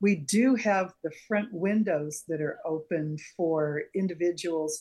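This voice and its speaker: At a very slow pace, a woman with a fairly low pitch speaks with ordinary pitch variation. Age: 70s. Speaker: gallery board member and artist. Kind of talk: casual interview.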